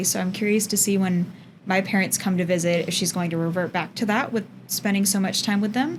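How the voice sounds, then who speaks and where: A woman's medium-pitched voice with an American accent, very fast in pace and fairly even in intonation. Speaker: podcast guest. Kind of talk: casual chat.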